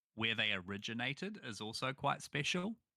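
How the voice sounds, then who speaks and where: With a New Zealand accent, a man talks at a moderate pace in a bright, sharp tone, recorded very cleanly with a silent background and a dry, close sound with no echo. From New Zealand, small town. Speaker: gaming content creator. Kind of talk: casual chat.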